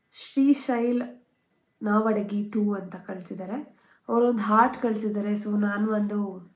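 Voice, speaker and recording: A somewhat breathy woman's voice, fairly high-pitched with fairly even intonation and big swings in loudness, in audible room echo. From Bangalore, India. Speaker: vlogger. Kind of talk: Q&A vlog.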